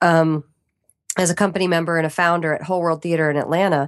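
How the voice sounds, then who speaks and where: She has a plain, everyday voice at a fairly low pitch. Her pitch variation is ordinary. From Arlington, Virginia, US. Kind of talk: casual interview chat.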